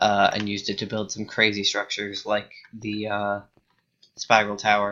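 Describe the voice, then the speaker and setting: A man's fairly low voice at a moderate pace with monotone, flat intonation. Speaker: gaming youtuber. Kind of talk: gameplay commentary. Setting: at home alone at night. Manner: halting, many fillers and restarts.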